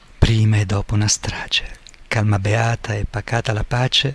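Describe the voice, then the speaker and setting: A man speaks with an Ancona accent. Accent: Anconetano dialect. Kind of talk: poetry reading.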